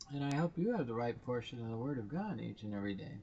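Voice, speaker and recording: A somewhat breathy man at a fairly quick pace, with lively intonation. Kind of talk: casual commentary.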